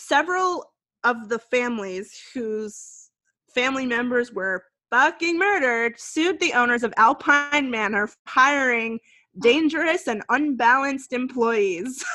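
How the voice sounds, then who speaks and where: A woman's high, bright, sharp voice, fairly slow, with lively intonation and big swings in loudness. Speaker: podcast co-host. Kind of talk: casual chat.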